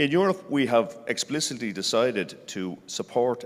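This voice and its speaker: A man speaks with an Irish accent. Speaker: senior agriculture civil servant. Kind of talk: panel discussion.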